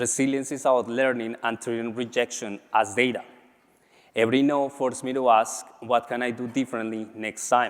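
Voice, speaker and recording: Moderate in pace, a man speaks at a medium pitch. His intonation is monotone and flat. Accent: strong Latin American. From Colombia. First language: Spanish. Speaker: MBA graduate and business leader. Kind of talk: conference speech.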